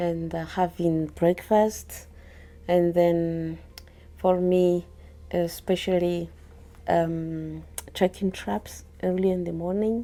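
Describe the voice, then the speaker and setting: A woman in a Malagasy accent at a very slow pace, with long, frequent pauses. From Madagascar. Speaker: field biologist. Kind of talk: interview. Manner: halting.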